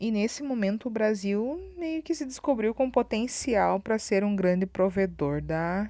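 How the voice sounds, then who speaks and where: With a dark, mellow tone, a woman speaks at a very slow pace and a medium pitch, her pitch swinging very widely. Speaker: school teacher. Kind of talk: recorded online lesson.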